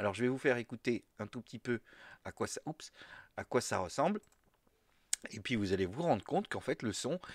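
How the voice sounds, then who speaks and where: A man of medium pitch with lively intonation and long, frequent pauses, in a very clean recording with a silent background and a dry, close sound with no echo. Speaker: podcaster. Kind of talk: tutorial. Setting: home office. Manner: halting, many hesitations.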